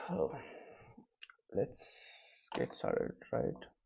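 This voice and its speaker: Music sounds in the background while the words come at a very slow pace. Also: man. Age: 20s. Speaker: vlogger, student entrepreneur. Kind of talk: casual vlog monologue. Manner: soft-spoken, quiet so as not to wake others; slow, hesitant with fillers.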